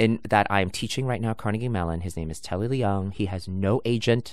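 A man's normal speaking voice at a moderate pace, with lively intonation. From New York, Brooklyn. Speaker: Broadway actor and singer. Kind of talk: interview. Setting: sitting near the theater.

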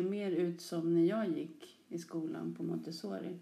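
Her tone is dark and mellow as the woman speaks at a fairly slow pace. Room echo is audible. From Stockholm area, Sollentuna. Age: 40s. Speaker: teacher. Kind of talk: interview.

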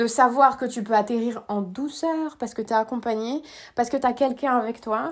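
This woman's fairly high voice sounds animated, moving at a moderate pace with ordinary pitch variation. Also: very clean recording, silent background. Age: 30s. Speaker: life coach. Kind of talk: podcast monologue.

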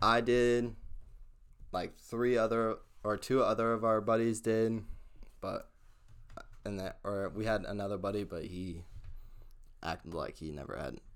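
The man talks at a moderate pace. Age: 20s. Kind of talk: testimony.

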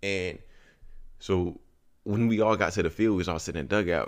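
A man speaks with a very deep, low pitch, vocal fry and ordinary pitch variation, leaving long, frequent pauses. The recording is very clean, with a silent background. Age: 20s. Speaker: podcast host. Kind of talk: casual solo monologue. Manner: rambling, casual.

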